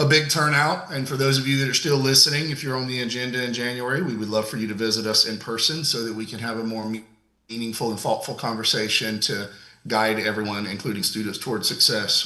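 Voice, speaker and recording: A man speaks with an American accent at a fairly quick pace. His tone is bright and sharp, and the room echo is audible. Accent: Georgia accent, comes out when passionate. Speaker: commission chair. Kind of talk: public meeting chairing. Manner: passionate, intense.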